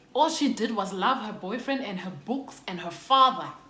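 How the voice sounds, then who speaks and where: A woman speaks at a moderate pace with lively intonation. Audible room echo and noticeable background noise surround her. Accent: South African. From South Africa, Xhosa. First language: Xhosa. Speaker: YouTuber. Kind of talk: storytime. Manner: casual, code-switching.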